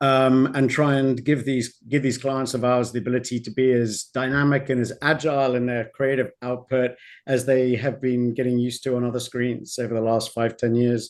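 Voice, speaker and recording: With a British accent, a man speaks at a moderate pace and medium pitch in a monotone, flat delivery. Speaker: streaming ad-tech executive. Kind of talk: panel discussion.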